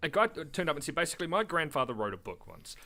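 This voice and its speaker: Bright and sharp in tone, a man's voice sits at a medium pitch. Vocal fry runs through it. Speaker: podcast co-host. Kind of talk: casual chat. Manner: fast; animated.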